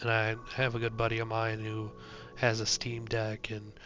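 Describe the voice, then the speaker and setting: Music plays in the background. The voice holds a monotone, flat intonation. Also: man. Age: 30s. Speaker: gaming youtuber. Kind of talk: casual vlog monologue. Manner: hesitant, many fillers.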